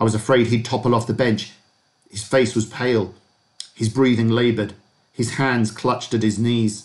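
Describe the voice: The background stays quiet. Over it comes plain reading aloud.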